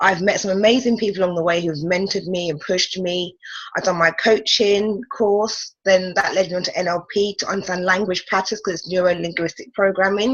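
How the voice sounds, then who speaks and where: A woman talks with a British accent at a fairly quick pace. Her pitch is medium and her intonation fairly even. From London. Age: 30s. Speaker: life coach. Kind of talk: interview. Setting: call.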